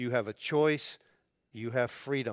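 A man's normal speaking voice at medium pitch, ordinary pitch variation, very clean recording with a silent background. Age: 60s. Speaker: pastor. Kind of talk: sermon.

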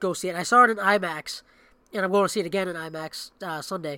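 A man talks in a raised, projected voice with a bright, sharp tone. His pitch is high with ordinary variation, and the sound is dry and close with no echo. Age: 30s. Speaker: podcast co-host. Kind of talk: casual chat. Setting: home basement, shared microphone.

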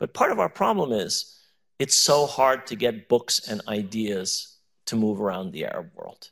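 An American-accented man with a normal speaking voice, medium pitch and a fairly slow pace, lively intonation and big swings in loudness. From US, New York. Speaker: professor. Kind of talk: panel discussion. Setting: stage with audience.

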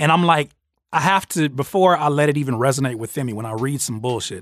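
A man speaks fairly quickly in a plain, everyday voice of medium pitch with ordinary pitch variation, in a dry, close sound with no echo and a very clean recording with a silent background. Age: 30s. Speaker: podcast host and rapper interviewing a producer. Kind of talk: casual interview. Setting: studio.

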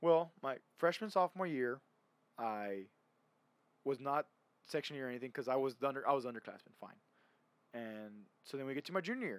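With lively intonation and a fairly quick pace, a man at medium pitch speaks with long, frequent pauses. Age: 20s. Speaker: podcast host. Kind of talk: casual chat.

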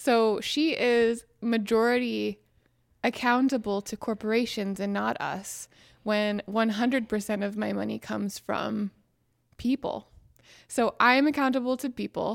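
In a dry, close sound with no echo and a silent background on a very clean recording, a woman with an American accent talks at a fairly slow pace in an unremarkable speaking voice, fairly high in pitch with fairly even intonation. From Western Pennsylvania. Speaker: congressional candidate. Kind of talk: interview.

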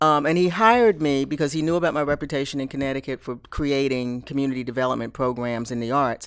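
Rushing at a very fast pace with hardly any pauses, the voice has an American accent on a very clean recording with a silent background. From Philadelphia. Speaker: community development leader. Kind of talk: interview.

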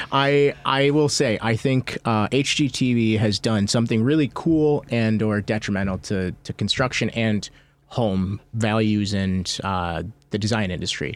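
This is a plain, everyday voice, a man's, fairly low in pitch and fairly slow in pace. The recording is very clean, with a silent background. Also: ordinary pitch variation. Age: 30s. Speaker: real estate broker. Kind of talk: casual chat. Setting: studio.

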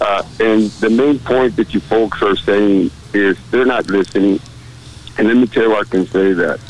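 Speaking at a moderate pace with fairly low pitch and ordinary pitch variation, a man keeps his loudness very even over noticeable background noise. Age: 60s. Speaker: state legislator. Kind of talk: call-in comment.

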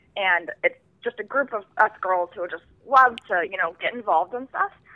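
Speaking at a moderate pace with ordinary pitch variation, a woman has a plain, everyday voice. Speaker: student entrepreneur. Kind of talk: casual interview. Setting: phone call.

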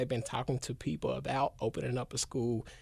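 A man with an American accent and medium pitch speaks at a fairly quick pace with fairly even intonation. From Memphis, Tennessee, US South. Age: 20s. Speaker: educator and community worker. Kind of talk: casual interview. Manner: halting, many fillers.

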